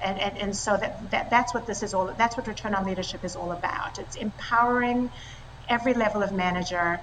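Over noticeable background noise, a woman talks at a fairly quick pace with medium pitch and fairly even intonation. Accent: South African. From South Africa, raised partly in Italy and France. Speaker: tech company co-founder and CEO. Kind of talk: interview.

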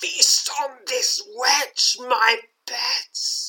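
Hissing runs through this high, put-on character voice with very wide pitch swings. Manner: hissing, menacing.

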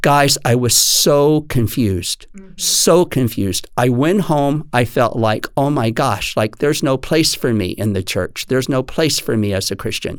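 Over noticeable background noise, a man with an American accent and medium pitch speaks with hardly any pauses. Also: lively intonation, moderate pace. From Texas. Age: 60s. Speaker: dance teacher. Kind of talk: interview.

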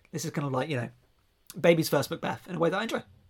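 In a southern English accent, the speaker sounds somewhat breathy, with lively intonation. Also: man. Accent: southern English, regional. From southern England, near Reading. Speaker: podcast host. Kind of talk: casual podcast chat.

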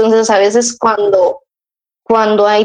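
A woman is speaking at a fairly high pitch. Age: 30s. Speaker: mother sharing her experience. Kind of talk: casual interview conversation.

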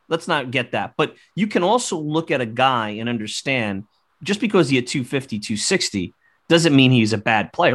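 Over a quiet background, a man uses a plain, everyday voice, talking at a fairly quick pace with lively intonation. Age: 40s. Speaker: baseball podcast host. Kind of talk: casual chat.

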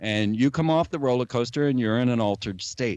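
A man's plain, everyday voice at a medium pitch, with lively intonation. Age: 50s. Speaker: conspiracy theorist and filmmaker. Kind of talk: interview.

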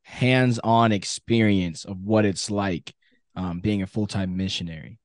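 A man talks at a moderate pace in a dry, close sound with no echo and a quiet background. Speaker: podcast co-host. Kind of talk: casual chat. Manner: energetic.

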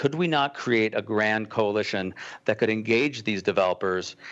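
A man speaks with an American accent at a medium pitch, in an ordinary speaking voice. His pitch varies an ordinary amount, and his pace is moderate. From Colorado. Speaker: cause-brand entrepreneur. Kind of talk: interview.

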